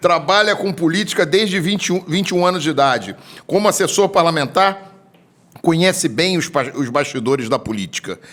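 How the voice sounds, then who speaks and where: This man has a high pitch and lively intonation. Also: fairly quick pace. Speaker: podcast host. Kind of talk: interview.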